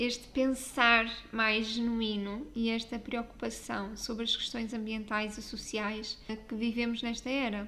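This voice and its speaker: A woman with a European Portuguese accent speaks at a fairly slow pace. Her fairly high voice stays monotone and flat. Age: 20s. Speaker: style coach and podcast host. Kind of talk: solo podcast monologue.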